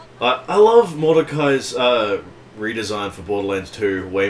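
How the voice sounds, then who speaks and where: Noticeable background noise fills the recording. Over it, a man talks with lively intonation. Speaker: gaming video host. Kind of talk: casual chat.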